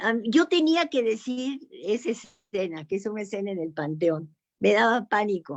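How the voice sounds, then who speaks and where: A woman's fairly high voice with very wide pitch swings against a quiet background. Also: moderate pace. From Mexico. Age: 80s+. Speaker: writer. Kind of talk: panel discussion.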